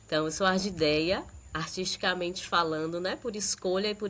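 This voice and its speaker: A woman's normal speaking voice at a moderate pace, with fairly even intonation. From Bahia, Brazil (Candeias). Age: 30s. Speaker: dancer and audiovisual artist. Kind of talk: podcast interview. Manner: relaxed, conversational with many fillers.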